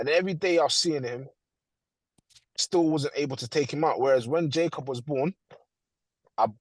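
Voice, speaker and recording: The speaker has a London accent and talks at a moderate pace with ordinary pitch variation. The sound is dry and close, with no echo. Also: man. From London, England. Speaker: father sharing experience. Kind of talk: testimony.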